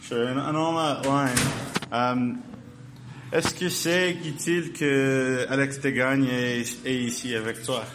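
Very slow speech with fairly even intonation amid noticeable background noise. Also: man, medium pitch for a man. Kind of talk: casual interview.

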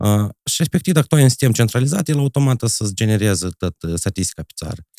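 A man with a Moldovan accent, dark and mellow in tone at medium pitch, with very wide pitch swings at a very fast pace, in a dry, close sound with no echo on a very clean recording with a silent background. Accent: Moldovan Romanian. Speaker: math teacher. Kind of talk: casual chat.

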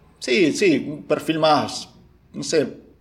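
A man talks in a room with audible echo. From Argentina, Buenos Aires area. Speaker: film director and screenwriter. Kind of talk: casual chat. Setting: at home, remote call.

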